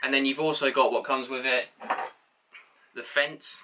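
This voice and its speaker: With an English accent, a man is talking. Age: young. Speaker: carpenter. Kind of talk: casual tool review to camera. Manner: hesitant, casual.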